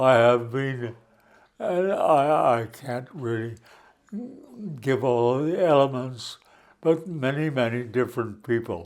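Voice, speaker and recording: In a very clean recording with a silent background, a man of medium pitch speaks. His pace is very slow, with long, frequent pauses. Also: ordinary pitch variation. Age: 80s+. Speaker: retired psychiatrist and cybernetician. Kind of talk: interview. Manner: halting.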